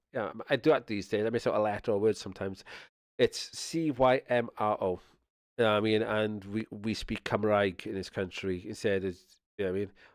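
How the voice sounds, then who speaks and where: A man with a South Welsh accent speaks at a fairly quick clip in a fairly low voice and fairly even intonation. The recording is very clean, with a silent background. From Wales (Swansea area). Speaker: streamer. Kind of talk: casual chat. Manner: rambling with frequent fillers and repetitions.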